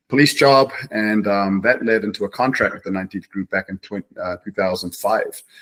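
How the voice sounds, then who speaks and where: The voice carries a New Zealand accent. The sound is dry and close, with no echo. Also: man. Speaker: martial arts instructor, retired police officer. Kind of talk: interview. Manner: halting, many fillers.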